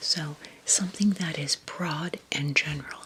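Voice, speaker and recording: A woman whispers in a calm tone over noticeable background noise. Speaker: travel vlogger. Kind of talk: casual talk to camera, travel tips. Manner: calm, soft-spoken, conversational.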